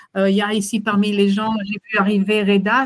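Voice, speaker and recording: A woman talks at a moderate pace in a medium pitch with a monotone, flat intonation. The sound is dry and close, with no echo. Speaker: consultant and webinar presenter. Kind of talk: webinar presentation. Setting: video call webinar. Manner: halting, many fillers.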